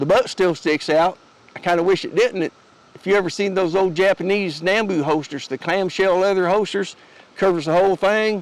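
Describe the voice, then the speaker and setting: Over noticeable background noise, a man with an Appalachian accent speaks at a moderate pace. His pitch is high, with ordinary variation. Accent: Appalachian Southern US. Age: 60s. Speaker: homesteader and gear YouTuber. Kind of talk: gear tutorial. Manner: casual, folksy, with hesitations.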